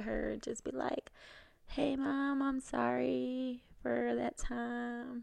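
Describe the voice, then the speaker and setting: Quiet backdrop, a woman's voice. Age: 20s. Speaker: returning podcast guest, healthcare worker. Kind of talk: casual chat.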